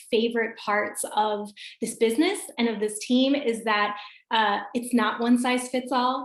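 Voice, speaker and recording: With an American accent, a woman speaks in an unremarkable speaking voice at a fairly high pitch. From US Midwest, Michigan. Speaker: wellness business coach, former teacher. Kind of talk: video call presentation. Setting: video call. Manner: casual, upbeat.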